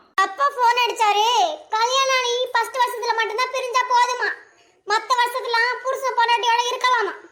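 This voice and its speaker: A woman's cartoonish character voice, extremely high in pitch, with monotone, flat intonation, a moderate pace and very even loudness. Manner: sugary on the surface, commanding underneath.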